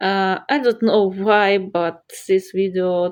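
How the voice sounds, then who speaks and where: Speaking at a very slow pace with a non-native accent, the voice stays monotone with flat intonation. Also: woman. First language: not English. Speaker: art YouTuber. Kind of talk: casual vlog commentary over drawing. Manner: halting, with many fillers.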